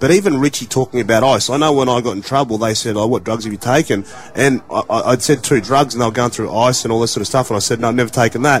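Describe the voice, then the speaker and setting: A man with an Australian accent at a very fast pace, hardly any pauses, noticeable background noise. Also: medium pitch for a man, ordinary pitch variation. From Australia, regional New South Wales. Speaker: former rugby league player, radio pundit. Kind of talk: radio discussion, personal testimony.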